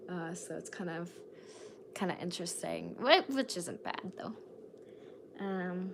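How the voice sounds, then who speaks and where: A woman talks at a fairly slow pace with long, frequent pauses and big swings in loudness. Noticeable background noise is present. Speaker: singer-songwriter streamer. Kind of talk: live stream Q&A chat. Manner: casual, hesitant with many fillers.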